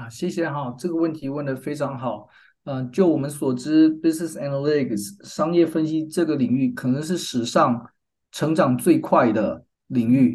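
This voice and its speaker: A man with a Taiwanese accent, fairly high-pitched for a man, at a moderate pace with ordinary pitch variation. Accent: Taiwanese Mandarin. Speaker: business school professor and department chair. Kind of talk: interview.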